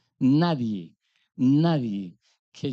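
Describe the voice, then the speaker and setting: A man's voice has a dark, mellow tone. The sound is dry and close with no echo, over a quiet background. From Colombia, Antioquia (paisa). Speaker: business executive. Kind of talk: conference talk. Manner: animated.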